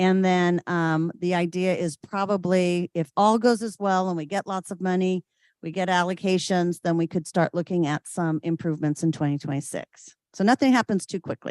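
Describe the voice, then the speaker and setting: With an ordinary speaking voice and a fairly low pitch, a woman talks at a moderate pace with hardly any pauses and fairly even intonation, the sound dry and close with no echo against a quiet background. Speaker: city parks staff presenter. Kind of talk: public meeting presentation.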